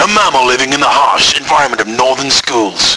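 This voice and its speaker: A man speaks with high pitch. Noticeable background noise is present. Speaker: school IT teacher. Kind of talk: spoof nature documentary narration.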